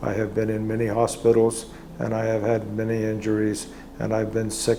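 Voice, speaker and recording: A man talks at a moderate speed as noticeable noise carries on behind him. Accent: American. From United States. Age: 70s. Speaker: patient, military veteran. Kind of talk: testimony.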